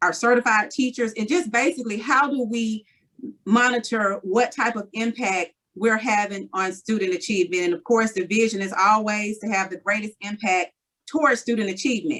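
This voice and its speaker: Bright and sharp in tone, a woman speaks at a fairly high pitch with ordinary pitch variation. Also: moderate pace. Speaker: school board member reporting on committee work. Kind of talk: meeting report.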